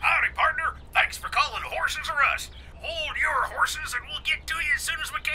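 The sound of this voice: The speaker uses a put-on character voice at a moderate pace. Loud background noise runs behind it.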